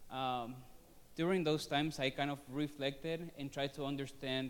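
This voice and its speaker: A man's fairly high-pitched voice with a Spanish accent, fairly even intonation and a fairly slow pace. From Venezuela. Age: 30s. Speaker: student. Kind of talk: personal testimony presentation. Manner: halting, many fillers.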